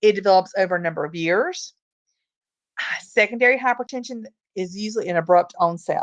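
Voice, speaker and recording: Speaking with a Southern US accent at a medium pitch and ordinary pitch variation, a woman is heard against a quiet background in a dry, close sound with no echo. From US South. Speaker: nursing or medical lecturer. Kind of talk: lecture. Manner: fast.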